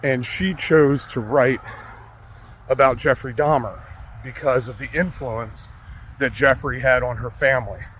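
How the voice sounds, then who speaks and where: Noticeable background noise accompanies a man who talks at a fairly slow pace with long, frequent pauses and big swings in loudness. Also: medium pitch for a man. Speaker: true crime vlogger. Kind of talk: casual on-location vlog. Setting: outdoors. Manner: soft-spoken; halting, many fillers.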